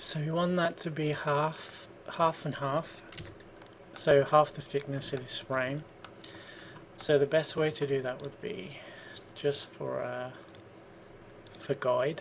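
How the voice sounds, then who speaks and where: Very slow speech in a Birmingham accent, with long, frequent pauses and noticeable background noise. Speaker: 3D modelling tutor. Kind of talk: software tutorial. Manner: casual, thinking aloud.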